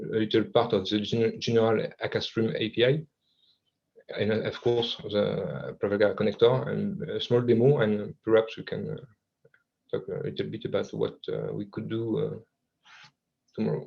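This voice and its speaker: With a slight French accent, a man talks at a moderate pace, leaving long, frequent pauses. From France. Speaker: software developer presenter. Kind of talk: technical presentation. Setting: video call. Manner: halting, many fillers and repetitions.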